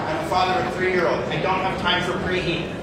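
Loud background noise fills the clip, and room echo is audible. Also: man. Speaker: executive chef. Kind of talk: sales pitch. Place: hall. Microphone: pa.

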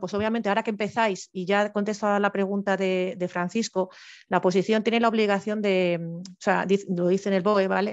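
At a fairly quick pace, a woman speaks at medium pitch in a monotone, flat intonation. The background is quiet. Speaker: civil servant, panel speaker sharing exam experience; speaker. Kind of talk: informational talk, webinar. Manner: fast; halting, many false starts. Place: home room. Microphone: headset.

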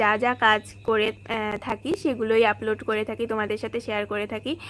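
Her fairly high-pitched voice stays monotone, the woman's intonation flat throughout. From West Bengal, India (Bongaon). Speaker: vlogger and housewife. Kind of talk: casual live-stream chat.

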